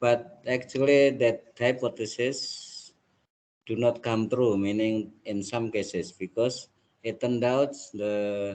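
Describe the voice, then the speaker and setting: In an Indonesian accent, a man speaks at a very slow pace. His voice sits at a medium pitch with fairly even intonation. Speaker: university lecturer. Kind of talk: lecture.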